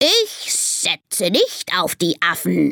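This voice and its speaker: A woman's put-on character voice, growling, at a medium pitch and a very slow pace. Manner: chattering, babbling.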